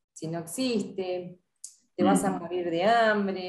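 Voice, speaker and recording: Fairly slow delivery with fairly even intonation. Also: woman. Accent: Rioplatense. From Argentina, Buenos Aires area (Avellaneda). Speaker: sport psychologist. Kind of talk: interview. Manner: hesitant, many fillers and repetitions.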